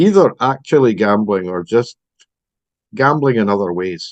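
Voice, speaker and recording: With a Scottish accent, a man speaks at a medium pitch and a moderate pace, with lively intonation. He takes long, frequent pauses, and the sound is dry and close with no echo. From Scotland. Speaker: recovering compulsive gambler. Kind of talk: personal testimony.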